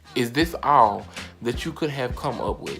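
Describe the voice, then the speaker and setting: A man's voice sits at a medium pitch while music plays behind him. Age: 20s. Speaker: YouTuber. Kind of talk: storytime, casual talk to camera. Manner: animated, comedic.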